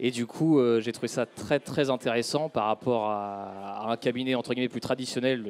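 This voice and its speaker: Here a man uses a normal speaking voice at medium pitch. He goes at a fairly quick pace, and the sound is dry and close with no echo. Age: 30s. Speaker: chartered accountant. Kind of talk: business interview.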